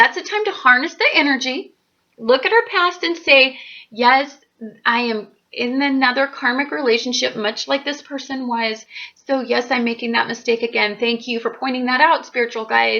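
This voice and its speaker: Her voice raised and projected, a woman speaks at a moderate pace in a high pitch with ordinary pitch variation. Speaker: astrologer YouTuber. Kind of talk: casual monologue to camera. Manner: loud; animated.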